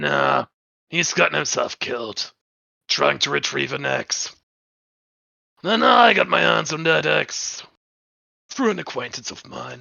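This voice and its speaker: A man's raspy, put-on character voice at a fairly slow pace, with long, frequent pauses and big swings in loudness. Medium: actual play. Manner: blunt.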